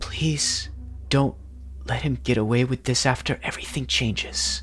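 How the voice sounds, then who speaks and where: Clear music plays in the background as a man does a strained, put-on character voice at a moderate pace. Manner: pleading, desperate.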